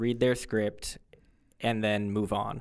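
On a very clean recording with a silent background, a man with an American accent and an unremarkable speaking voice talks at a moderate pace in a medium pitch. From Florida, Fort Lauderdale. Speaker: high school English teacher. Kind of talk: casual interview. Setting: studio.

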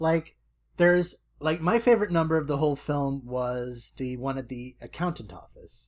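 In a very clean recording with a silent background, a man with a normal speaking voice talks at a moderate pace and fairly high pitch, using ordinary pitch variation and big swings in loudness. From Canada. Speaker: podcast co-host. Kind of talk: casual chat.

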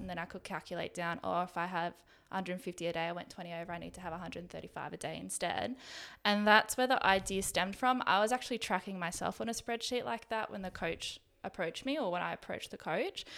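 Talking at a very fast pace, a woman shows vocal fry and big swings in loudness in a very clean recording with a silent background. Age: 20s. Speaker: business founder and coach. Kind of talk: interview.

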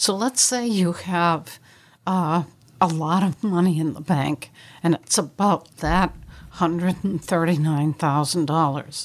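A woman's fairly low-pitched, an ordinary speaking voice, with ordinary pitch variation and a fairly slow pace, on a very clean recording with a silent background. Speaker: estate planning and elder law attorney. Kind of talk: radio talk show discussion. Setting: studio.

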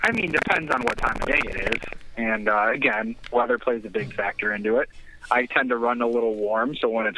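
Over noticeable background noise, a man with a medium pitch talks at a fairly quick pace with ordinary pitch variation and very even loudness. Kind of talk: comedy call-in character bit, playing a creepy caller. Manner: rambling, hesitant, absurdly defensive.

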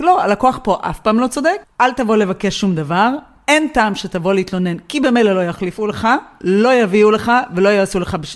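A woman's unremarkable speaking voice at medium pitch, with lively intonation and a moderate pace. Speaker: podcast co-host. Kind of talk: casual chat.

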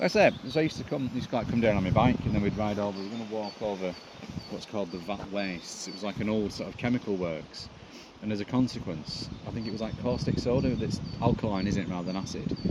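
Very fast, fairly low-pitched male speech with ordinary pitch variation over noticeable background noise. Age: 50s. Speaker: comedian. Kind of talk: casual chat.

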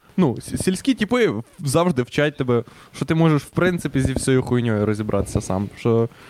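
With lively intonation, a man speaks at a medium pitch over noticeable background noise. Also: moderate pace. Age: 20s. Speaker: podcast co-host. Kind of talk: casual chat.

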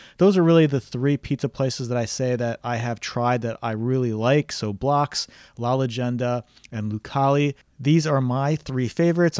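A man with a plain, everyday voice speaks at a medium pitch and a moderate pace, his intonation fairly even. The sound is dry and close with no echo, a very clean recording with a silent background. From New Jersey. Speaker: podcast host and real estate agent. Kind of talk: casual solo podcast recommendations.

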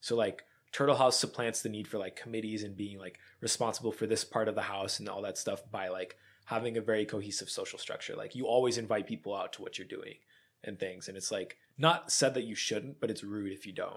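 Loudness swings widely as a man with an American accent talks at a fairly quick pace, medium in pitch, with ordinary pitch variation. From rural Pennsylvania. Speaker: recent college graduate. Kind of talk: casual chat. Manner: halting, many fillers.

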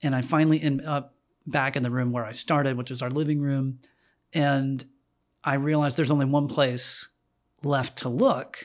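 A monotone, flat delivery at a moderate pace, broken by long and frequent pauses, on a very clean recording with a silent background. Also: man, fairly high pitch for a man. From North Carolina, Winston-Salem. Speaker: musician and designer. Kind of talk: casual chat.

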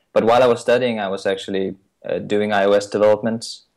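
This very clean recording has a silent background. In it, a man speaks with a Danish accent. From Denmark. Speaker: iOS consultant. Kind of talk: interview. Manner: halting.

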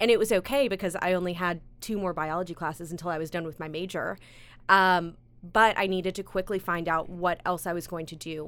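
Recorded very cleanly against a silent background, the speaker has an unremarkable speaking voice with an American accent at a moderate pace. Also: woman. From US South, South Carolina (Greenville). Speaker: TV lifestyle show host and producer. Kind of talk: interview.

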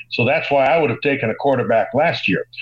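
With an American accent, a man uses a plain, everyday voice. His pitch is fairly high, with ordinary variation. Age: 60s. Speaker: sports broadcaster. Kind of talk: casual chat.

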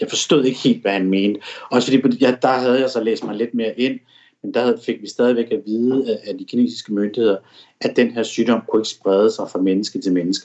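A normal speaking voice from a man at medium pitch, fairly quick and fairly even in intonation. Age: 40s. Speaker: foreign correspondent. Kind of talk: interview. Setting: at home in apartment.

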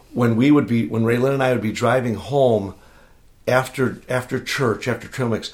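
A man with an unremarkable speaking voice talks at medium pitch and a moderate pace. His intonation is fairly even, and the recording is very clean with a silent background. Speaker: church small-group leader. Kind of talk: casual interview chat.

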